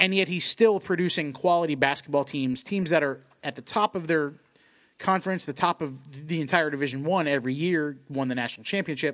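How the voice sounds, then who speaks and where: Over a quiet background, a man with an ordinary speaking voice and a fairly high pitch talks at a fairly quick pace with ordinary pitch variation. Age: 30s. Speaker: sports podcast co-host. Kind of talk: casual chat. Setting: studio.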